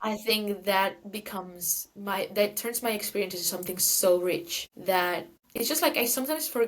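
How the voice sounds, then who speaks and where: Speaking in a Valencian accent, a woman keeps a moderate pace. Her pitch is medium and her intonation lively. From Valencia, Spain. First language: Spanish. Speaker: guest. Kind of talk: casual chat.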